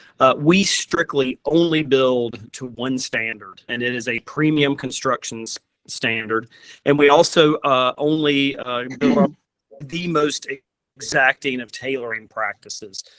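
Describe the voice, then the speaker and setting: A man with a fairly high voice speaks at a fairly slow pace with ordinary pitch variation. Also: big swings in loudness, dry, close sound with no echo. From US South. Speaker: furniture company representative. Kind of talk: presentation.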